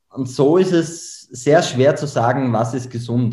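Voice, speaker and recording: With an Austrian accent, a man talks at a medium pitch with a dark, mellow, somewhat breathy tone and ordinary pitch variation, and audible room echo surrounds him. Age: 20s. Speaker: memory trainer. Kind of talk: podcast interview.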